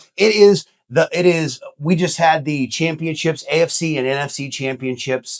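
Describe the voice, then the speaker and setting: A man with an animated tone and a fairly high pitch, at a moderate pace with ordinary pitch variation. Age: 40s. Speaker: podcast host, real estate agent. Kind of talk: casual chat. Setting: studio.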